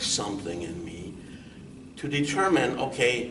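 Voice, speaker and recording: Speaking at a very slow pace with very wide pitch swings, a man is heard over noticeable background noise with audible room echo. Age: 60s. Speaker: accountant, guest with neurofibromatosis. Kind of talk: interview. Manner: halting.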